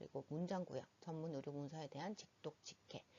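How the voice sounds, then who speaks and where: A woman talks at a moderate pace in a Busan accent. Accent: Busan dialect (Gyeongsang). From Busan, South Korea. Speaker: medical interpreting instructor. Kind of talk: educational presentation narration. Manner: slightly nervous, trembling.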